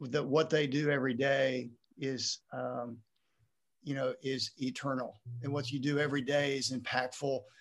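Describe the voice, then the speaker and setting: Using monotone, flat intonation, a man speaks at a moderate pace and a fairly high pitch. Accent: American. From Texas. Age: 60s. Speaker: retired high school principal. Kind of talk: interview.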